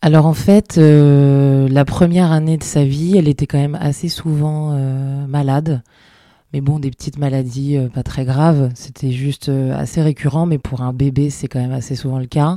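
In a dark, mellow tone, a woman speaks at a very deep, low pitch and a moderate pace with fairly even intonation, recorded very cleanly against a silent background. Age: 40s. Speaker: marketing director, mother of a seriously ill child. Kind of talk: testimony. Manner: hesitant, many fillers.

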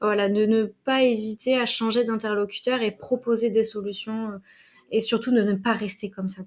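Monotone, flat intonation runs through a woman's fairly high-pitched voice at a moderate pace. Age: 30s. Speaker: HR specialist and coach. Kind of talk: interview conversation.

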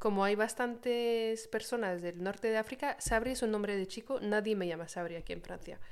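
In an unremarkable speaking voice, a woman speaks at a moderate pace and medium pitch with ordinary pitch variation. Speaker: podcast co-host. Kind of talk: casual chat. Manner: laughs often.

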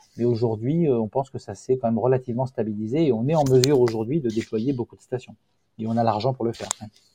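This man speaks very fast at a medium pitch with fairly even intonation. The sound is dry and close with no echo. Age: 50s. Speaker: company founder. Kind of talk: interview. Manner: halting.

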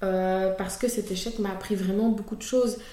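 A woman of medium pitch speaks at a fairly quick pace with fairly even intonation, and the room's echo is audible. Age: 20s. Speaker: content creator. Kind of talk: testimony.

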